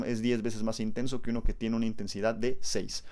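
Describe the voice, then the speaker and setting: Speaking at a very fast pace, a man uses a medium pitch and a monotone, flat intonation. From Mexico. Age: 20s. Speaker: science podcast host. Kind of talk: educational monologue. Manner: casual, conversational.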